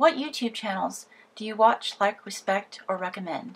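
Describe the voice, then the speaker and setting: A woman talks in an American accent at a moderate pace. Her pitch varies in an ordinary way. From US South, Appalachia. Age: 30s. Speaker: YouTuber. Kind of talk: Q&A vlog answering viewer questions.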